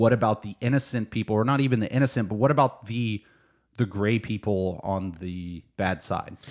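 Here a man with an American accent has an ordinary speaking voice at a fairly low pitch. His pace is moderate and his pitch variation ordinary. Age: 30s. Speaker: book podcast co-host. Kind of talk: casual chat.

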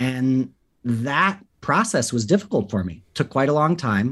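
A man with an American accent and lively intonation on a very clean recording with a silent background. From US West Coast, Los Angeles. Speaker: filmmaker. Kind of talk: interview. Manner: thoughtful.

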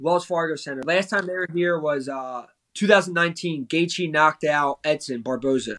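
At a moderate pace, a man with an American accent speaks in a bright, sharp, fairly high voice with ordinary pitch variation, recorded in a dry, close sound with no echo. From US East Coast. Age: 20s. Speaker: professional MMA fighter. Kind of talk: casual interview.

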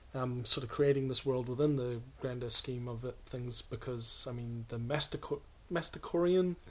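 This man has a medium pitch and fairly even intonation. He speaks at a moderate pace. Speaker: podcast guest, tabletop gamer. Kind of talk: casual chat.

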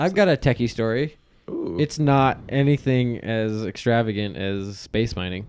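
A man speaks in an ordinary speaking voice at a medium pitch and moderate pace, with lively intonation. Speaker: podcast host. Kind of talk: casual banter podcast.

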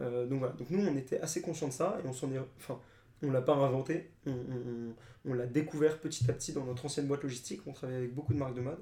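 Speaking at a very fast pace, a man with a medium-pitched, dark, mellow tone and a somewhat breathy quality keeps his intonation fairly even. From France, Paris. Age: 20s. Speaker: startup co-founder. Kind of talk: interview.

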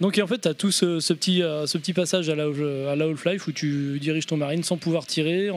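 A man's fairly high voice, very fast and fairly even in intonation, with hardly any pauses. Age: 30s. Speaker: video game podcast guest. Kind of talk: casual chat.

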